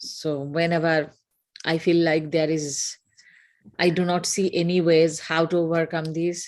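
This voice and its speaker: A woman with a Bengali accent speaks at a very slow pace in a fairly low pitch with fairly even intonation. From northeast India. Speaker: yoga program participant. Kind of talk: interview testimony. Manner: halting.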